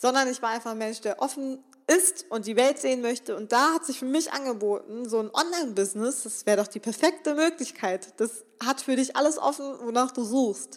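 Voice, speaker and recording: With an enthusiastic, animated tone, a woman speaks at a moderate pace and high pitch, with ordinary pitch variation and hardly any pauses. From western Germany (Remscheid). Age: 20s. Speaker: podcast host, self-employed social media entrepreneur. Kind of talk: solo motivational podcast talk.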